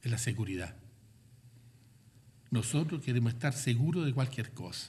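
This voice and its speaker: The voice has a dark, mellow tone and is somewhat breathy. Room echo is audible. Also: man, medium pitch for a man, ordinary pitch variation, moderate pace. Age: 80s+. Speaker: cultural manager and artist giving a guest talk. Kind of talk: lecture.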